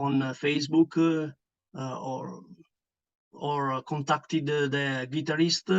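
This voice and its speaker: Man with an Italian accent, fairly high pitch and fairly even intonation. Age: 40s. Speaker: metal band bassist. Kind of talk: interview. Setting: online call. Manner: halting, many fillers.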